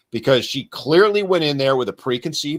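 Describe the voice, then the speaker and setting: Animated in tone, a man talks at a fairly quick pace on a very clean recording with a silent background. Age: 60s. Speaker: podcast host discussing men's issues. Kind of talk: casual discussion. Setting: live stream.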